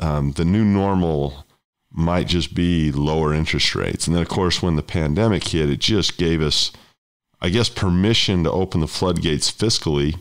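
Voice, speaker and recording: A man with an American accent and a very deep, low pitch, at a moderate pace with ordinary pitch variation and very even loudness, on a very clean recording with a silent background. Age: 50s. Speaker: podcast host, investing educator. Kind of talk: interview.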